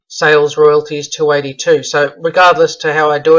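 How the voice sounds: A man sounds strained as he talks at a fairly quick pace and a fairly high pitch, with little pitch movement.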